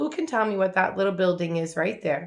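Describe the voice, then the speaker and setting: Put on as a character, this female-sounding voice is raspy, with a warm tone, middle pitch and fairly quick pace. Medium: read story. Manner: warm, patient.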